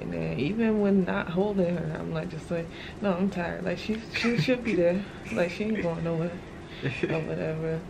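A woman keeps a moderate pace while noticeable background noise is heard. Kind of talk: casual vlog chat. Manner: worn-out, low post-labor voice. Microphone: phone near.

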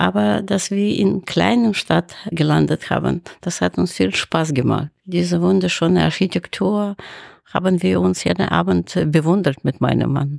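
Very deep and low with vocal fry, a woman's voice makes very wide pitch swings while keeping its loudness very even. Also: moderate pace. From Ukraine (Kharkiv, former Soviet Union). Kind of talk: interview.

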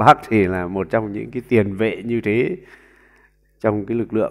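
The speech moves at a fairly slow pace. The background is quiet. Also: man. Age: 40s. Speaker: YouTube commentator. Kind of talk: monologue commentary. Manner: halting with frequent fillers. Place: home room. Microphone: earbuds.

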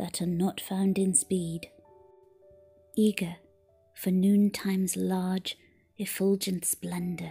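A soft-spoken, gentle-toned voice at a very slow pace, with long, frequent pauses and music in the background. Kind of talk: poetry reading.

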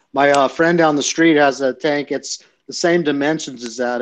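A man speaks in an unremarkable speaking voice with fairly even intonation. His pace is moderate and the background is quiet. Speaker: reef aquarium hobbyist. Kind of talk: casual chat. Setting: video call.

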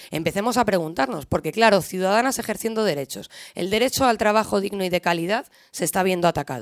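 A woman's very fast speech with very wide pitch swings, over a quiet background. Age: 20s. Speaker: left-wing party women's activist; speaker. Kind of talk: panel talk. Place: hall. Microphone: podium.

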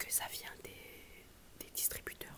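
A woman is whispering. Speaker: mukbang vlogger. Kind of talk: mukbang food tasting talk to camera. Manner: whispered. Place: home room. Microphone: earbuds.

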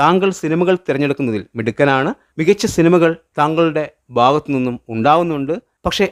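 An unremarkable speaking voice from a man, fairly high in pitch, with lively intonation and a dry, close sound with no echo. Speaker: YouTube film commentator. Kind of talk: solo commentary video.

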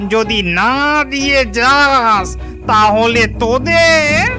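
Loud music plays in the background. The cartoonish character voice is fairly high in pitch.

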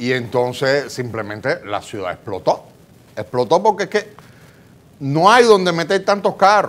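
Vocal fry and very wide pitch swings run through a man's fairly high-pitched voice at a fairly slow pace. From Dominican Republic. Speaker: talk show co-host. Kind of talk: talk show interview. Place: studio. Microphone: lapel.

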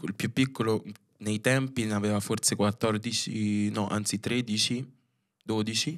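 The speech comes at a very slow pace over a quiet background. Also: man. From Rome, Italy (Filipino family). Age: 20s. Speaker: dance choreographer; podcast guest. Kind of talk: casual chat. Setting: studio. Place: studio. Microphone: studio mic.

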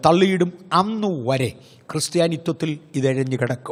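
A man with a fairly high pitch uses lively intonation. He has a plain, everyday voice. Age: 60s. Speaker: pastor. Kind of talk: sermon.

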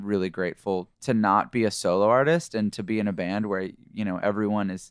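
Against a quiet background, a man with a normal speaking voice and fairly low pitch talks at a fairly quick pace with hardly any pauses. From Canada. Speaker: rock band lead singer. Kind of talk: casual interview. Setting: studio.

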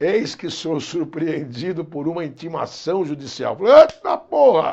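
Against a quiet background, a man talks in an animated tone at a fairly slow pace. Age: 50s. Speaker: law professor for civil service exam prep, former police officer; law professor for civil service exam prep. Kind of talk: lecture with comic storytelling. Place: classroom. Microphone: lapel.

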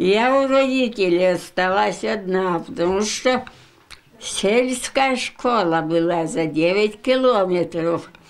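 Lively intonation marks a woman talking at a very slow pace. Her loudness stays very even. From Vologda region, Russia. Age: 80s+. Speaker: WWII home front veteran. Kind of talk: interview answer. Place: home room.

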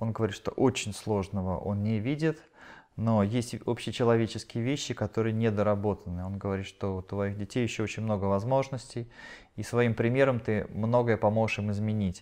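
A man's fairly low voice at a moderate pace, fairly even in intonation, against a quiet background. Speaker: channeling medium relaying answers to audience. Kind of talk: live channeling session at seminar; spiritual session talk, relaying answers. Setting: seminar hall with live audience. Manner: halting. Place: home room.

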